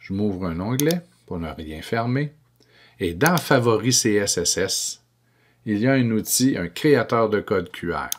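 A man with a fairly low pitch speaks very slowly with lively intonation and long, frequent pauses over light background noise. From Quebec. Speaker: educational technology trainer for teachers. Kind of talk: screencast tutorial.

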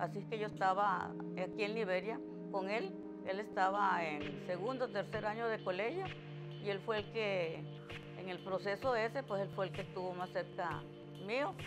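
A woman talks at a moderate pace with long, frequent pauses. Music plays clearly in the background. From Costa Rica. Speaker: preschool teacher. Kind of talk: interview answer. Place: home room.

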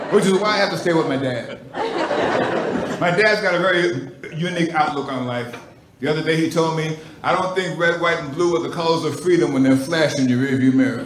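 Man talking at a fairly quick pace with ordinary pitch variation, audible room echo and light background noise. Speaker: stand-up comedian. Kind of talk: stand-up comedy set. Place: stage. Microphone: handheld.

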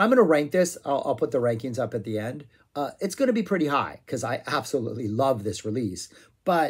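Talking very fast, a man is heard with little sound behind him. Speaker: music reviewer. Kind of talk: casual vlog chat. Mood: enthusiastic. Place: home room. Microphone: phone near.

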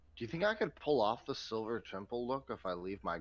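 A man talks at a fairly quick pace with a very deep, low pitch and vocal fry. His pitch swings very widely. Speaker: stream sound technician; miniature painter streamer. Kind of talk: casual chat. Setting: remote audio via Discord. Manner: loud. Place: home room.

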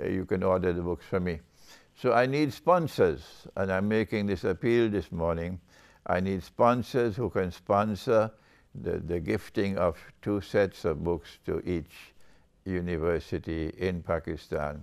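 A man's very deep, low voice at a fairly slow pace, with ordinary pitch variation and a quiet background. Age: 70s. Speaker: Islamic scholar. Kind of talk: appeal talk. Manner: measured, formal. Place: home room.

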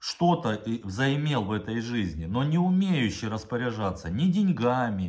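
A man talks with very wide pitch swings and a somewhat breathy quality. The background is quiet. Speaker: vlogger. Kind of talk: angry video address. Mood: indignant, accusing. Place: home room. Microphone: phone near.

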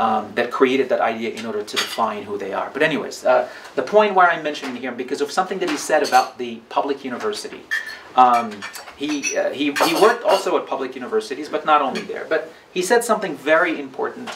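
Delivered at a very fast pace, the voice shows very wide pitch swings over noticeable background noise. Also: man, fairly high pitch for a man. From Morocco. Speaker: professor; speaker. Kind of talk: lecture. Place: home room. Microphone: camera far.

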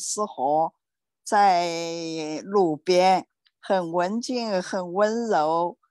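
A woman speaks in a dry sound with no echo. The background is quiet. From China. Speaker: student. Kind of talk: casual chat. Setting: video call. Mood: calm, gentle. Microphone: video call.

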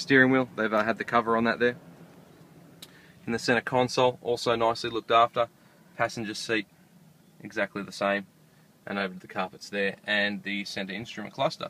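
The voice has a bright, sharp tone and a fairly quick pace, recorded dry with no echo. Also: man. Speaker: car salesperson. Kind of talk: product walkaround tour. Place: car. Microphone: phone near.

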